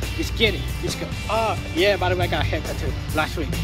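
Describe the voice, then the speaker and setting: A man races along at a very fast pace, with clear music in the background. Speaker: vlogger. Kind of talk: casual vlog chat. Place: street. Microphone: phone near.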